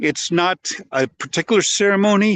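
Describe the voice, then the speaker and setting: Over a quiet background, a man speaks at a moderate pace with ordinary pitch variation, in a dry, close sound with no echo. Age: 70s. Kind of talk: talking-head explainer video. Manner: halting, with false starts and repeated words.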